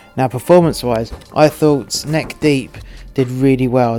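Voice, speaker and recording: Against music in the background, a man talks at a fairly slow pace with a medium pitch and fairly even intonation. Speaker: solo podcast host reviewing live show production. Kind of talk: solo commentary podcast. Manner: casual, with fillers and hesitations.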